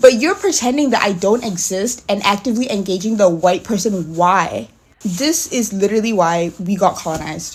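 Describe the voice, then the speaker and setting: Somewhat breathy and animated, a woman talks at a moderate pace with lively intonation. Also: medium pitch for a woman. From Singapore. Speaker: content creator. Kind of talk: casual rant.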